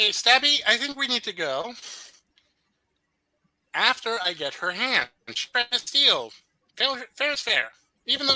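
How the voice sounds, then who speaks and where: Putting on a character voice at an extremely high pitch, a man talks at a moderate pace with long, frequent pauses. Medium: actual play. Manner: haggling, self-justifying.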